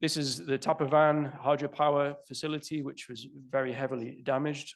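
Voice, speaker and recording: Speaking at a moderate pace, this man has a British accent. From United Kingdom. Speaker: conference speaker, fluvial geomorphologist. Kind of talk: conference presentation.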